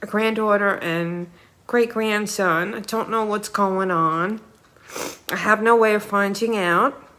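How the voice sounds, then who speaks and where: Her intonation fairly even, a woman speaks with a New York accent. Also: medium pitch for a woman, fairly slow pace. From New York City (Queens, Ozone Park). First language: Ukrainian. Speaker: vlogger. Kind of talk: personal monologue. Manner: halting.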